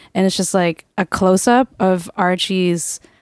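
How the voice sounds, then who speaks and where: A woman with an ordinary speaking voice talks at a medium pitch and a fairly slow pace. Her intonation is fairly even, and the sound is dry and close, with no echo. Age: 20s. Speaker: poet and comedian. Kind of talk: casual chat.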